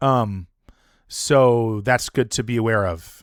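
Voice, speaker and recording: The recording is very clean, with a silent background and a dry, close sound with no echo. A man speaks with ordinary pitch variation. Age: 40s. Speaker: game streamer. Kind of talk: live gameplay commentary. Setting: live stream. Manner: halting, many repetitions and fillers.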